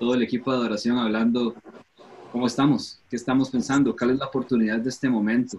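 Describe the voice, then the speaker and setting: Here a man speaks with a medium pitch and fairly even intonation. He has a plain, everyday voice. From Costa Rica. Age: 30s. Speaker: worship pastor and musician. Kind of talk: casual panel discussion.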